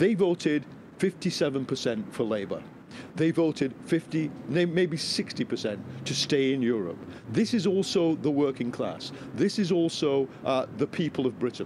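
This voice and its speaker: Light background noise accompanies a man speaking at a very slow pace. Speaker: political commentator guest. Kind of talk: interview answer. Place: street. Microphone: handheld.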